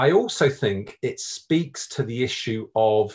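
Over a quiet background, a man speaks in a somewhat breathy voice. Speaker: professor. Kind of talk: panel discussion. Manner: repeats words, halting. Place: home room. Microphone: video call.

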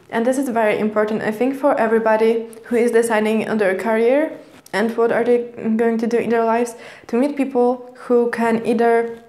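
A woman speaks with a Polish accent. Her intonation is monotone and flat. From Poland. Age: 20s. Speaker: vlogger. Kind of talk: personal vlog monologue. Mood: calm, reflective storytelling. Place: home room.

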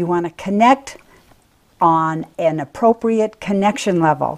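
A woman talks rather slowly against a quiet background. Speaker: presenter. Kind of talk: tutorial. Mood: cheerful, animated. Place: home room. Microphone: webcam.

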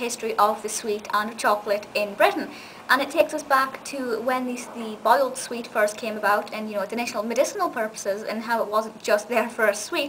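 Over light background noise, a woman speaks at a fairly quick pace with hardly any pauses and ordinary pitch variation. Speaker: video reviewer. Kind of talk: casual vlog review. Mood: enthusiastic, warm. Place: home room. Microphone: webcam.

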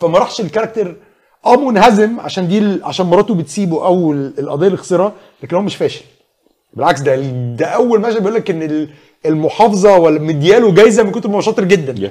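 This man talks at a fairly quick pace with lively intonation and a high pitch. His tone is dark and mellow, and the background is quiet. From Egypt. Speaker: screenwriter; guest. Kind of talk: casual chat. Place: studio. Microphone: lapel.

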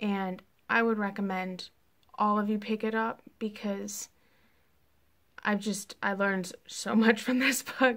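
On a very clean recording with a silent background, a woman speaks at a medium pitch and a slow pace. Her tone is fairly bright, her intonation fairly even, and her pauses long and frequent.

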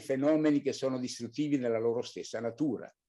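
Behind the man, the background stays quiet. He talks in a dark, mellow tone. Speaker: spiritual teacher. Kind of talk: lecture. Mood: calm, earnest. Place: home room. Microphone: video call.

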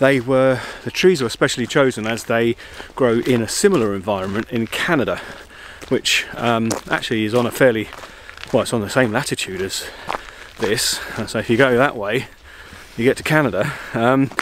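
Light background noise sits under a dry recording with no echo. A man talks at a moderate pace with ordinary pitch variation and long, frequent pauses. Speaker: travel vlogger. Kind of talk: casual vlog chat. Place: forest. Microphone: phone near.

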